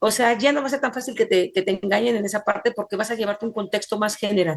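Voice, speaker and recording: A woman's fairly high voice at a fairly quick pace, with ordinary pitch variation. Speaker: forensic computing instructor. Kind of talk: online class lecture. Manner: fast; fast, hard to follow.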